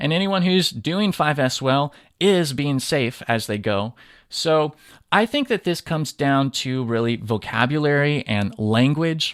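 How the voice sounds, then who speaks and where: A man with an American accent speaks at a fairly slow pace, his fairly high pitch carried by lively intonation. The recording is very clean and dry, close up with no echo and a silent background. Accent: sounds Californian to Southerners, slight. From Southern California. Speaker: podcast host, lean manufacturing educator. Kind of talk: solo podcast monologue.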